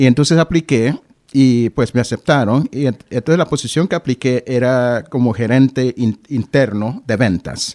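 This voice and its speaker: On a very clean recording with a silent background, a man speaks fairly slowly at medium pitch, with ordinary pitch variation and a dark, mellow tone. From Honduras, then Boston from age 15. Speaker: government diversity official and local historian. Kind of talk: radio interview. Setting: radio studio.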